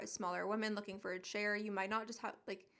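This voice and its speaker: This is a woman speaking. Her pitch is medium. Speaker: interior designer. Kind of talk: casual vlog tour. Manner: chatty, animated.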